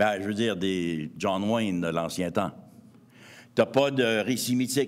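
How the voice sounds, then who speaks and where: A man with a Montreal accent at a fairly slow pace. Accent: Quebec French, Montreal. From Quebec, east Montreal. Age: 60s. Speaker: anthropologist and author. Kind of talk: lecture.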